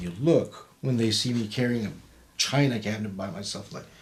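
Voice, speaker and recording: A somewhat breathy man at medium pitch with lively intonation, at a moderate pace, with audible room echo. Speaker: podcast co-host discussing the Bible; Marine veteran. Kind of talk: casual Bible study discussion.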